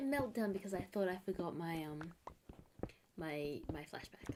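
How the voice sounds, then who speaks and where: With an American accent, a woman talks at a moderate pace in a fairly low voice. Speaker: streamer. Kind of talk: casual live-stream chat. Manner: casual, chatty.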